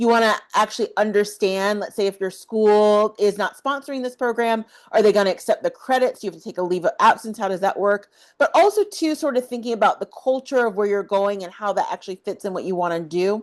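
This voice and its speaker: In an American accent, a woman speaks at a fairly quick pace with a fairly high pitch and ordinary pitch variation. She has a normal speaking voice. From US South. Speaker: study abroad advisor, YouTuber. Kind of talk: tutorial. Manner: casual, conversational.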